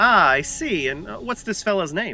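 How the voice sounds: In a put-on character voice, a man speaks at a moderate pace with a high pitch, a bright, sharp tone and vocal fry.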